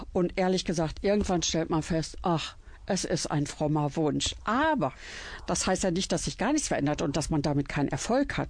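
Speaking at a moderate pace, a woman uses a fairly low pitch with vocal fry and ordinary pitch variation. Her loudness stays very even against a quiet background. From Germany, Iserlohn (Sauerland, Westphalia). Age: 60s. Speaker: church cabaret artist. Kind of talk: radio interview, personal storytelling.

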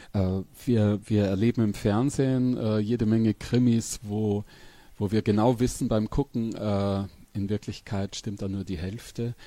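A man's dark, mellow, fairly low voice at a fairly slow pace with fairly even intonation, on a very clean recording with a silent background. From Upper Palatinate, northeastern Bavaria. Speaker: crime novelist. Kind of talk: interview conversation. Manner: halting.

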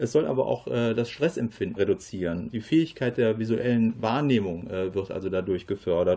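A man with a medium pitch and a dark, mellow tone speaks with lively intonation at a moderate pace, with hardly any pauses. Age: 50s. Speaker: football coach. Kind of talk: radio interview. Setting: studio.

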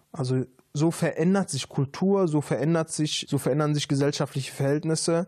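A man's voice comes through with a dark, mellow tone. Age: 30s. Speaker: social worker and rapper. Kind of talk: casual interview. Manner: hesitant with many fillers.

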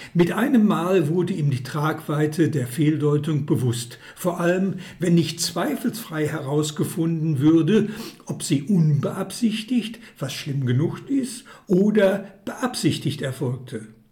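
Audible room echo surrounds a man speaking at a very slow pace. His pitch is fairly high and his intonation lively. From Hagen, Ruhr area, Germany. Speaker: author and former publisher. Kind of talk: reading aloud.

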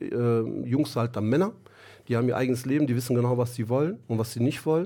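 A man speaks at medium pitch with ordinary pitch variation and a dark, mellow tone. The recording is very clean, with a silent background. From Germany, Duisburg area. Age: 40s. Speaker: football coach. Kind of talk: radio interview. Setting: studio.

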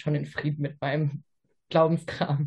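A somewhat breathy voice at a fairly quick pace. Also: woman. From Ruhr area, Germany. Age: 20s. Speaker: physiotherapy trainee. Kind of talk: casual interview chat.

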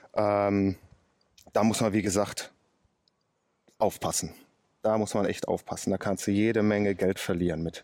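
A man's fairly low voice holds a monotone, flat intonation. He keeps a moderate pace with long, frequent pauses. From Ruhr area, Oberhausen. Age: 30s. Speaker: car mechanic and day trader. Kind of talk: casual interview. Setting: outdoors.

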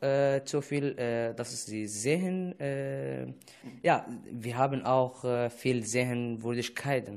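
With an Arabic accent, a man speaks very slowly at a medium pitch, his pitch varying in an ordinary way. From Syria. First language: Arabic (speaking German). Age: 20s. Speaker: refugee radio presenter. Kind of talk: casual chat. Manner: halting.

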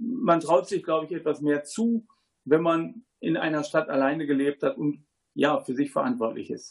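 A man uses an ordinary speaking voice at a fairly high pitch, speaking at a moderate pace with lively intonation. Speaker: agricultural engineer and parent. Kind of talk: studio talk show interview. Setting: studio.

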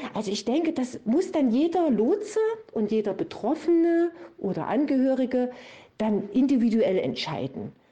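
With a dark, mellow tone, a woman talks at a moderate pace, her high pitch making very wide swings. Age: 40s. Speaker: volunteer addiction recovery guide. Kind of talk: interview.

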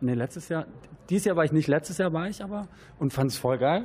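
Ordinary pitch variation in a man's high voice. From Stuttgart, Germany. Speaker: punk rock singer and guitarist. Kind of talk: casual interview.

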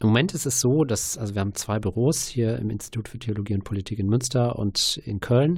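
This man's voice sits at a medium pitch and is somewhat breathy. His tone is dark and mellow, and his pace is moderate. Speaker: church asylum network worker. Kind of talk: radio interview. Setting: studio.

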